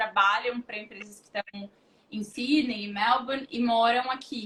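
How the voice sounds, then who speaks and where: A woman with a fairly high pitch speaks with fairly even intonation. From southern Brazil, Porto Alegre. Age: 30s. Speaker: recruitment professional. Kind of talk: interview on a livestream.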